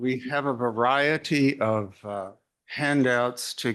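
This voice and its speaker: In a quiet background, a man with an Arkansas accent talks with fairly even intonation. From US South, Arkansas. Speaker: retired literary journal editor, keynote speaker. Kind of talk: keynote lecture. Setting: conference talk with audience.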